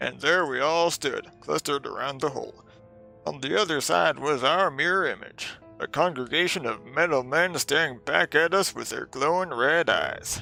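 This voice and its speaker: Over faint music in the background, a man performs a put-on character voice at a moderate pace. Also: fairly high pitch for a man. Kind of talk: in-character reading of a game journal.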